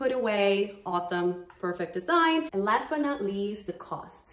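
A woman speaks at a moderate pace in a medium-pitched voice, with audible room echo. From Brazil. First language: Portuguese. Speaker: dance fitness YouTuber. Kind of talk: sponsored product review. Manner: animated. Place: home room. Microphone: phone near.

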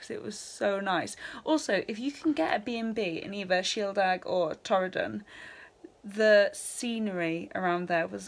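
A woman talks at a moderate pace. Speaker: travel vlogger. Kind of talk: casual vlog chat. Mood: relaxed, upbeat. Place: home room. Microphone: phone near.

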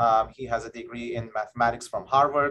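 The man's tone is fairly bright. He keeps a moderate pace and fairly even intonation.

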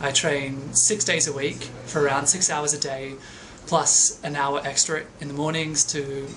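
A man's fairly high voice in a flat monotone with an Australian accent, over light background noise. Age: 20s. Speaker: ballet dancer. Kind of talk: personal narration.

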